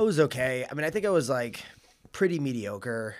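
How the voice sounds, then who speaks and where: The speaker has a slight Long Island accent and ordinary pitch variation. The recording is very clean, with a silent background. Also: man. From Suffolk County, Long Island, New York. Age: 30s. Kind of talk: casual chat. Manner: hesitant, many fillers.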